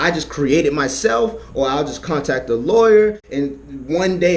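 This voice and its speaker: Against noticeable background noise, a man talks in an animated tone with ordinary pitch variation. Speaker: vlogger giving money-making advice. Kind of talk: casual tutorial vlog. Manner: fast; animated, repetitive.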